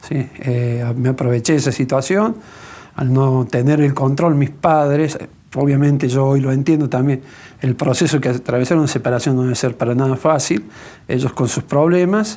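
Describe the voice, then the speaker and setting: Speaking at a moderate pace, a man uses a dark, mellow tone at medium pitch with ordinary pitch variation. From Argentina, Córdoba. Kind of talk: testimony interview.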